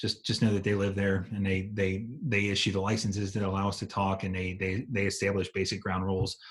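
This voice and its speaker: In a very clean recording with a silent background, a somewhat breathy voice moves at a fairly quick pace in a monotone, flat intonation with hardly any pauses. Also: man, fairly low pitch for a man. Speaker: EMT instructor. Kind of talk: lecture. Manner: fast.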